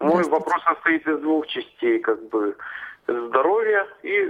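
A man talks at a fairly slow pace. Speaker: caller. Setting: phone call. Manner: halting.

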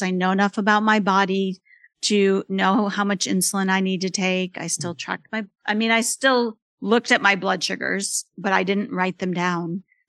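Her medium-pitched woman's voice is an ordinary speaking voice, heard at a moderate pace with a dry, close sound, no echo and a quiet background. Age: 50s. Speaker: author and mother living with type 1 diabetes. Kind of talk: interview. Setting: remote call.

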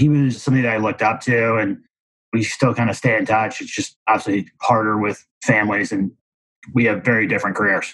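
Speaking fairly quickly, a man has a Midwestern American accent. His medium-pitched voice holds a fairly even intonation. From Missouri, near St. Louis. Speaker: commercial real estate broker. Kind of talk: casual interview.

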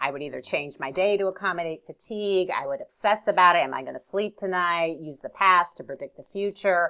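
A woman's medium-pitched voice with a bright, sharp tone on a very clean recording with a silent background. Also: ordinary pitch variation, fairly quick pace. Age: 40s. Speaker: guest who overcame insomnia. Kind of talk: interview, personal story.

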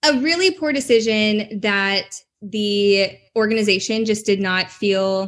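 A woman with a plain, everyday voice speaks in an American accent. Her pitch is fairly high, with ordinary pitch variation. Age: 20s. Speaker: personal brand strategist. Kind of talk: interview testimony.

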